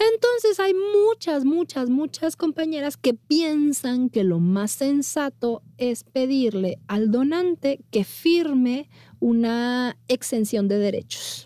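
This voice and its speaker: A woman with a high pitch and a dark, mellow tone speaks at a very slow pace, her pitch swinging very widely. Her loudness stays very even, she hardly pauses, and the sound is dry and close with no echo. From northern Mexico, Monterrey. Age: 40s. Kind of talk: interview.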